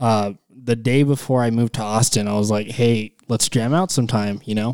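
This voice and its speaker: A man's plain, everyday voice with an American accent, medium-pitched, fairly even in intonation, at a moderate pace. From Texas, El Paso. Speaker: rock band guitarist. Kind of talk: casual chat.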